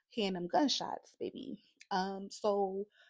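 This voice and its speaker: A woman with a New Orleans accent and medium pitch speaks in an animated tone, in a very clean recording with a silent background and a dry, close sound with no echo. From New Orleans, Eighth Ward. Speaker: author. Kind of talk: casual talk on writing.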